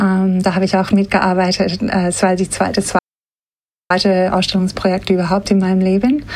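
A woman's flat, monotone delivery at a medium pitch and moderate pace. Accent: slight non-native. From Australia, Sydney. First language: English (speaking German). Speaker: museum curator. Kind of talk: interview. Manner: hesitant with fillers.

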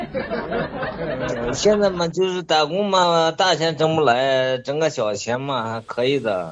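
A man's fairly high voice with very wide pitch swings at a very slow pace, over crowd noise in the background. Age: middle-aged. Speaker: caller with advice question. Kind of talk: call-in advice conversation. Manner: halting.

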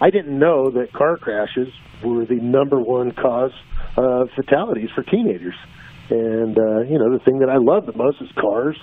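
Here a man speaks in an ordinary speaking voice at a moderate pace. His pitch is medium, with ordinary variation. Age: 50s. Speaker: drag racer and driving-safety program founder. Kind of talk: interview. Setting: phone call.

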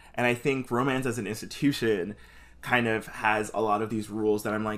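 Here a man has an ordinary speaking voice of medium pitch and fairly even intonation. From New York, the Bronx. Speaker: podcast host. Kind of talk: casual chat.

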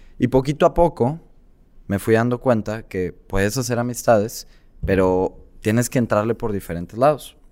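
In a very clean recording with a silent background, a man with a normal speaking voice talks at a moderate pace, his medium pitch showing ordinary variation. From Mexico, Tabasco. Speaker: entrepreneur and content creator. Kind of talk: interview.

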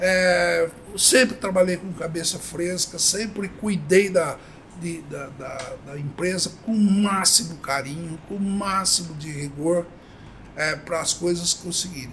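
Over noticeable background noise, a man speaks at a very slow pace in a high pitch with ordinary pitch variation. His loudness swings widely. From Brazil, Avaré (São Paulo state interior). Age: 70s. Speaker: company founder. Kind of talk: interview.

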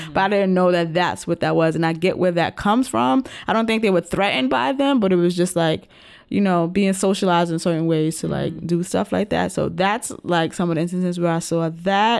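A woman speaks at a fairly quick pace with an American accent, using a normal speaking voice. Her pitch is medium with ordinary variation. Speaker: podcast host. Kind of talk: casual chat.

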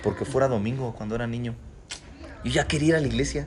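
This man's voice sits at a medium pitch, with lively intonation. Noticeable background noise runs under it. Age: 30s. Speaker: pastor. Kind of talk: casual chat.

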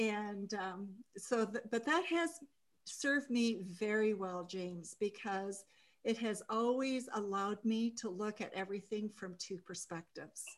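A woman's fairly high voice with an American accent, ordinary pitch variation, a fairly slow pace and an unremarkable speaking voice. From Japan (American family). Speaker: executive coach. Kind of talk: interview.

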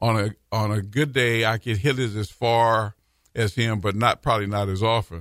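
In a plain, everyday voice, a man with an American accent speaks at a moderate pace and a fairly low pitch, his intonation fairly even, in a dry, close sound with no echo. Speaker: professor and former city manager. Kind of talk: casual interview chat. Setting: radio studio.

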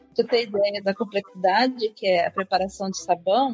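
Speaking at a fairly quick pace with ordinary pitch variation, a woman has a plain, everyday voice. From Brazil, southern Minas Gerais. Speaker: chemistry researcher. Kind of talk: podcast interview.

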